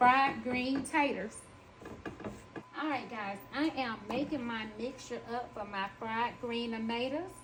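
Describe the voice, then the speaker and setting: Speaking very slowly, a woman uses a Southern US accent at fairly high pitch with fairly even intonation. Her voice carries audible room echo amid noticeable background noise. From US South. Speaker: home cooking vlogger. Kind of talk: cooking tutorial. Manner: casual, chatty.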